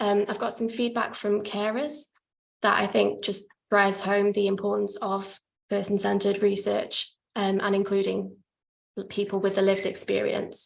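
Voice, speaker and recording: There is vocal fry in this woman's medium-pitched voice. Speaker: PhD researcher presenting her study. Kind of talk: academic conference presentation. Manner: fast, hurrying to finish.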